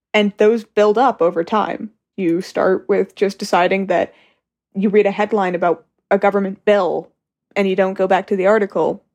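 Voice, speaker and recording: A woman speaks at a moderate pace in a western Canadian accent, with fairly even intonation. The sound is dry and close with no echo, over a quiet background. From Calgary, Alberta. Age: 18. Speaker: recent high school graduate. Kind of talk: interview.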